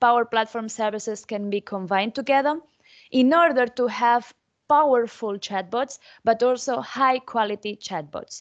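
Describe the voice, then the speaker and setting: The speaker has a Spanish accent and a moderate pace, with ordinary pitch variation. The background is quiet. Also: woman. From Spain. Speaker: technology conference speaker; conference speaker. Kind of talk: conference presentation. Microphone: video call.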